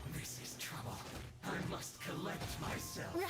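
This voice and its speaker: Loud background noise and a slight echo surround a put-on character voice at a low-to-middle pitch and a fairly slow pace. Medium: game stream. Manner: shouted, combative.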